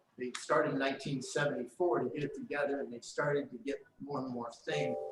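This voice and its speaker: A man with an American accent talks at a fairly quick pace. Music plays behind him. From northern California (Marin County). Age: 70s. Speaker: historical museum volunteer. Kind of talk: presentation to club meeting. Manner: halting, many fillers.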